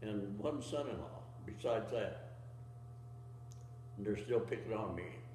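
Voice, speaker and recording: A man with an American accent, medium pitch, a very slow pace, and noticeable background noise. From Utah, USA. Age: 80s+. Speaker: war veteran; farmer. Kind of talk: interview answer.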